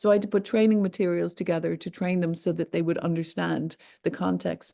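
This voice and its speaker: In an Irish accent, a woman speaks at a fairly low pitch with a dark, mellow tone and fairly even intonation. She talks at a fairly quick pace against a quiet background. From Ireland. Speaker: online safety expert, company founder. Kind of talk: interview.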